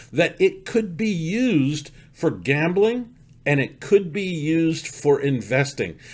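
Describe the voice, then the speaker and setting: Here is a man with an unremarkable speaking voice. He has a fairly high pitch and lively intonation. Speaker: stock market commentator. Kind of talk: market commentary with sales pitch.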